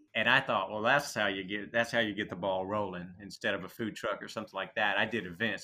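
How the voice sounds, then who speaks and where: In an American accent, the speaker talks at a fairly quick pace with a bright, sharp tone. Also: man. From Texas. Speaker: restaurant owner. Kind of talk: interview.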